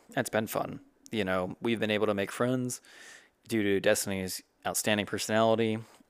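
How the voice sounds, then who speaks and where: In a very clean recording with a silent background, a man speaks at a fairly quick pace in a flat monotone, his loudness very even, broken by long, frequent pauses. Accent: American. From South Carolina. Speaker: podcast co-host, medical student. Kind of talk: casual chat.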